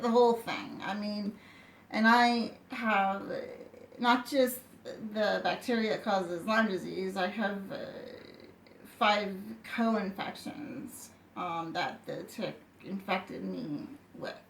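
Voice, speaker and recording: Audible room echo surrounds a woman with a fairly high pitch who speaks at a very slow pace with long, frequent pauses and ordinary pitch variation. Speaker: person with chronic illness telling her story. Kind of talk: personal testimony. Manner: halting, many fillers and restarts.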